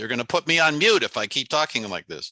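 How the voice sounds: In a put-on character voice, a man talks at a very fast pace with a nasal sound. His pitch is fairly high.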